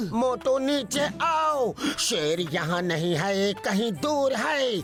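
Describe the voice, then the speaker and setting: Over clear background noise, a cartoonish character voice at a fairly high pitch moves at a very slow pace. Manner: calm, instructive.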